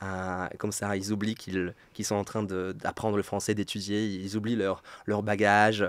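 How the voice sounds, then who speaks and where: A man's fairly low voice holds a monotone, flat intonation while he talks at a moderate pace. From Poland. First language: Polish (speaking French). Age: 30s. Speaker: French teacher. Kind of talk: interview. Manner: hesitant, many repetitions.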